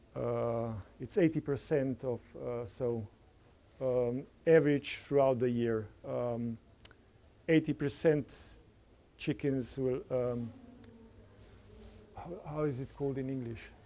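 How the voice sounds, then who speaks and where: A man talks very slowly at medium pitch, with long, frequent pauses. His tone is dark and mellow, and his intonation fairly even. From Slovenia. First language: Slovene. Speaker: farmer. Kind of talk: conference talk. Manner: halting.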